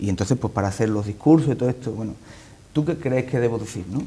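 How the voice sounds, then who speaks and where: This man's voice sits at medium pitch and has a dark, mellow tone. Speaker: political party leader. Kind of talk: TV interview answer.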